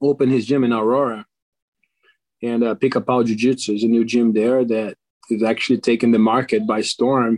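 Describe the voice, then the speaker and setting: This man speaks at a fairly quick pace with a Portuguese accent, a medium pitch, monotone, flat intonation and very even loudness, in a dry, close sound with no echo. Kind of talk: casual interview chat.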